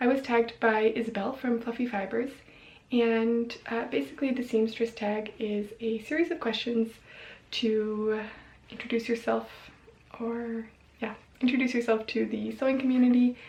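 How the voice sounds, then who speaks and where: A woman with an American accent speaks at a moderate pace in a fairly high pitch. Her intonation is fairly even, broken by long, frequent pauses. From US, Colorado (Boulder). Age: 20s. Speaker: sewing vlogger. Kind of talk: casual vlog talk. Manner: hesitant, many fillers.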